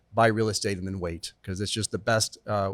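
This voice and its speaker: A man talking at a very fast pace, in a very clean recording with a silent background. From born in Chile, raised partly in England. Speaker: real estate attorney. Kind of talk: podcast interview.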